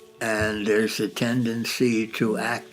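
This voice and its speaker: Music plays in the background. The speaking pace is fairly slow. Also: man. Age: 80s+. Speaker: philosopher. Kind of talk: interview answer. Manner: slow, reflective.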